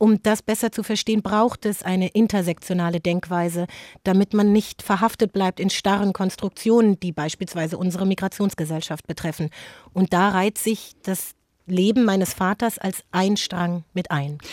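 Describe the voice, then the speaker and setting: An ordinary speaking voice from a woman at medium pitch, moderate pace and fairly even intonation, in a very clean, silent, dry and close recording with no echo. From Germany, Frankfurt am Main. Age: 40s. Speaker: author and journalist. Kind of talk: interview.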